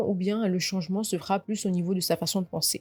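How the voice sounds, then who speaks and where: With music in the background, a woman talks at a fairly quick pace and a medium pitch. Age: 20s. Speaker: podcast host. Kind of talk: casual chat.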